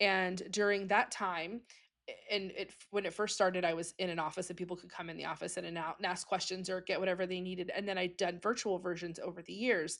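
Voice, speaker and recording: A woman talks at a very fast pace and a medium pitch. Her intonation is monotone and flat, yet her loudness swings widely. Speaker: podcast host. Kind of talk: casual chat. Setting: traveling, away from home studio.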